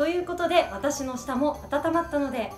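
A woman speaks at a moderate pace. Audible room echo and faint music in the background are present. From Niigata, Japan. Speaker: TV announcer. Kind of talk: casual talk to camera. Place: meeting room.

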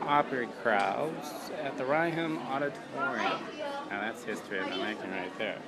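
A man talks at a moderate pace and medium pitch, with ordinary pitch variation. Clear crowd noise and other clear background noise sit behind him.

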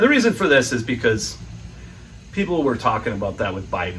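A man speaking at a fairly quick pace over light background noise. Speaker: political commentator. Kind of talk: casual vlog commentary. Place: home room. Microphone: phone near.

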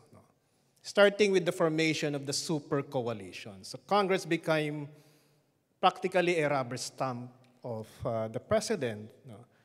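A man with a Filipino accent speaks at a moderate pace with lively intonation and big swings in loudness against a quiet background. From Philippines. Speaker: former congressman; panelist. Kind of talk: panel discussion. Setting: stage with audience. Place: hall. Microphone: podium.

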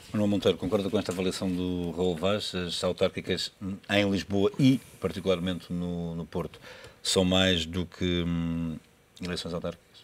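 This man speaks at a moderate pace in a very deep, low pitch with monotone, flat intonation. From Portugal. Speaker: TV moderator. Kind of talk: TV political debate, moderating; scripted intro narration. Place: studio.

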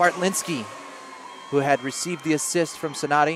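Noticeable background noise surrounds a man speaking at a moderate pace. His pitch is fairly high, with ordinary pitch variation. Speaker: lacrosse commentator. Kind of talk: live sports commentary. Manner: clipped, excitable.

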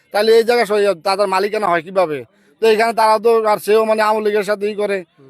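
This male voice sits high in pitch, with intonation that stays fairly even. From Bangladesh, Cumilla. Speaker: local villager, returned migrant worker. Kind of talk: on-the-spot interview. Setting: outdoors at a protest.

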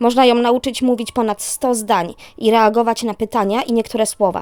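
A very clean recording with a silent background: a woman with an unremarkable speaking voice, fairly high pitch and fairly quick pace. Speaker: narrator. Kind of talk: horror story narration.

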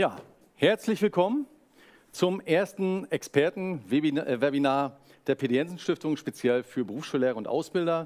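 A man's fairly high-pitched, a normal speaking voice, with lively intonation, a fairly slow pace, big swings in loudness and a quiet background. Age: 40s. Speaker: foundation representative, moderator; moderator. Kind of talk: webinar moderation. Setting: webinar. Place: studio.

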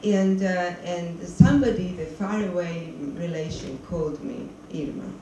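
There is light background noise and audible room echo as a woman talks at a fairly low pitch with ordinary pitch variation. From Georgia. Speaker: documentary filmmaker. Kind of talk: post-screening Q&A. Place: stage.

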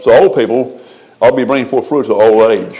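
Over light background noise, the speech runs at a very fast pace. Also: man. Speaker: preacher. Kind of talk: sermon. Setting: church. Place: church. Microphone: podium.

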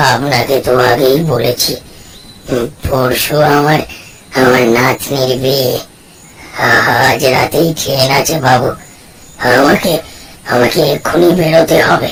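A man uses a raspy, put-on character voice at medium pitch. He speaks at a fairly slow pace with fairly even intonation. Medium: audio drama. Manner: deferential, stammering.

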